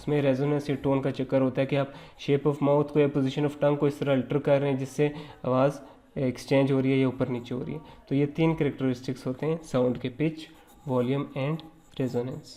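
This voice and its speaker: In a monotone, flat delivery, a man speaks at a fairly high pitch. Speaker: lecturer. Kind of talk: lecture.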